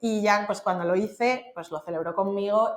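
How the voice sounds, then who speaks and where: A woman's voice at a medium pitch. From Madrid, Spain. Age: 30s. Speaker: freelance marketing consultant. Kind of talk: podcast interview.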